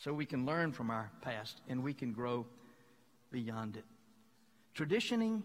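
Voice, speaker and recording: A man speaks at a fairly slow pace, leaving long, frequent pauses. His voice sits at a medium pitch with ordinary pitch variation. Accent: Southern US. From Mississippi, US South. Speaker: pastor. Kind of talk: sermon.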